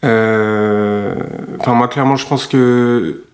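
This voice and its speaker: A man speaks in a monotone with flat intonation. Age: 30s. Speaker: web developer, music producer. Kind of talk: testimony.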